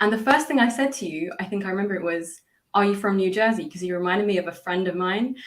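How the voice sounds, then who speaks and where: Speaking very fast with a British accent, a woman uses a medium pitch and ordinary pitch variation. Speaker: English teacher. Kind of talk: casual chat.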